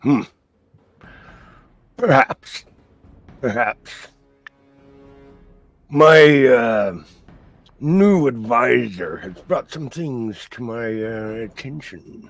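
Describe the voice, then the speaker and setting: Putting on a character voice at a medium pitch, a man talks at a very slow pace with long, frequent pauses. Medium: actual play. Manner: menacing, slow, domineering.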